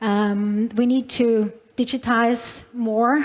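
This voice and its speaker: The delivery is monotone and flat, with a non-native accent. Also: woman. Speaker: tech company executive. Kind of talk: conference keynote. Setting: stage with large audience. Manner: hesitant, many fillers.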